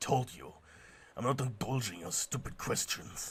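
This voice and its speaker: Putting on a growling character voice, a man speaks at a moderate pace with medium pitch and ordinary pitch variation. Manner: growling, irritated.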